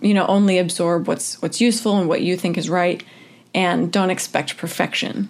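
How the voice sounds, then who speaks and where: Medium in pitch, this woman has a normal speaking voice with very even loudness. She keeps a moderate pace and fairly even intonation. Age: 20s. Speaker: churchgoer interviewee. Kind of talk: interview.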